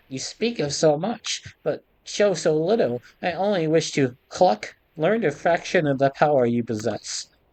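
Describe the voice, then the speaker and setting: At a moderate pace, a man performs a put-on character voice pitched fairly high. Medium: actual play. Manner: clucks mid-sentence; timid, whining.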